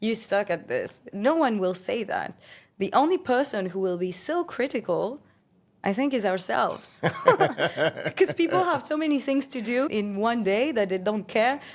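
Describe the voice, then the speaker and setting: A woman with a fairly high voice speaks at a fairly slow pace, her pitch swinging very widely, in a very clean recording with a silent background. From France (Paris). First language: French. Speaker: entrepreneur and podcast host. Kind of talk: interview conversation.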